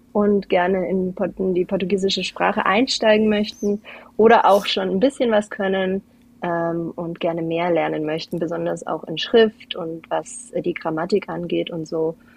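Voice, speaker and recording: With a normal speaking voice, a woman talks at a fairly slow pace and ordinary pitch variation. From Portugal (Algarve), German family. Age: 20s. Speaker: guest, mother and Portuguese teacher. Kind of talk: casual interview chat.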